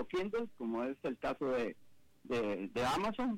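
A man talks at a fairly slow pace. His pitch swings very widely. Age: 70s. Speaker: business executive and author. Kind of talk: interview. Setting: video call.

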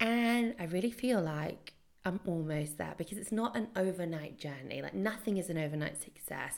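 With an unremarkable speaking voice at medium pitch, a woman talks at a moderate pace and with lively intonation. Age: 20s. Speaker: podcast host and entrepreneur. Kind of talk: solo podcast monologue. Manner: casual, laughing at times.

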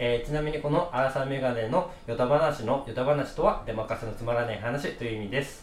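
With hardly any pauses, a man with a Kansai accent talks fairly quickly in an animated tone at a medium pitch with ordinary pitch variation, over noticeable background noise. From Kansai, Japan. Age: 20s. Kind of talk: casual chat. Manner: animated, laughing.

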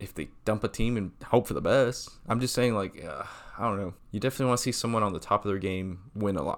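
The speech moves at a very fast pace. The recording is very clean, with a silent background. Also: man, fairly low pitch for a man, ordinary pitch variation. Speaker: podcast co-host. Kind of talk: casual banter chat. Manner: halting, many ums, sometimes fast or mumbling.

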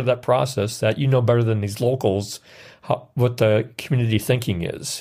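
A somewhat breathy man with an Upper Midwest accent speaks at medium pitch and a moderate pace, his pitch varying in an ordinary way. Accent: Upper Midwest American. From US Midwest, Wisconsin. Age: 60s. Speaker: outdoors writer. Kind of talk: interview. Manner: halting.

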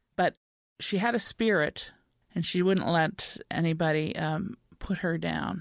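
Speaking with a Canadian accent, a woman has a fairly low voice with vocal fry and ordinary pitch variation. The sound is dry and close with no echo, on a very clean recording with a silent background. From Montreal, Quebec. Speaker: novelist. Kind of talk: interview.

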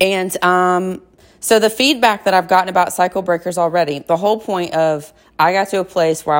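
A woman speaks in a normal speaking voice at a fairly low pitch, with ordinary pitch variation. Her pace is fairly quick, and the recording is very clean with a silent background. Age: 30s. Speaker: wellness coach and podcast host. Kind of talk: personal monologue. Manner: casual, conversational.

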